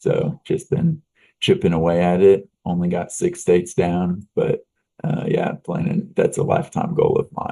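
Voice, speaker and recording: A man speaks with a slight Texan accent. His pace is fairly slow. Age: young. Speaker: business owner. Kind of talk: interview.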